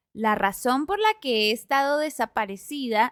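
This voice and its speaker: A woman with a high pitch is heard on a very clean recording with a silent background and a dry, close sound with no echo. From Colombia. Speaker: podcast host. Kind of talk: casual podcast talk.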